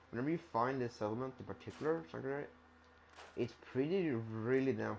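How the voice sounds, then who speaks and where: With a Swedish accent, a man speaks at a medium pitch and a moderate pace. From Sweden. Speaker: gamer streamer. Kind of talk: gameplay commentary. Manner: halting, many fillers and restarts.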